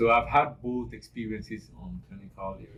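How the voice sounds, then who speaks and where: In an African accent, a man talks in an animated tone. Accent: African accent, noticeable. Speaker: nursing student. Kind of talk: interview. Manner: animated, repeats words.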